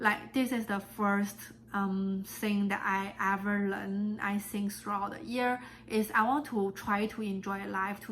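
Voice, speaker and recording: A woman talks at a medium pitch. Her pace is fairly slow. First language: not English. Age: 20s. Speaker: vlogger. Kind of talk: personal reflection vlog. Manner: halting; relaxed.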